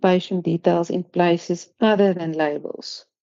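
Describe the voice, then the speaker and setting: Speaking in a non-native accent, this woman has a fairly low voice. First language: not English. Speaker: pharmacy council assessor. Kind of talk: online workshop presentation. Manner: hesitant, many fillers and repetitions.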